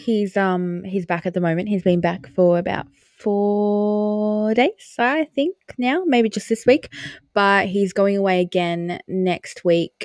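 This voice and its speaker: A woman speaks at a fairly slow pace with a medium pitch and ordinary pitch variation. Music plays in the background, and the sound is dry and close with no echo. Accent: Australian. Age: 20s. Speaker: podcast co-host. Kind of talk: casual chat.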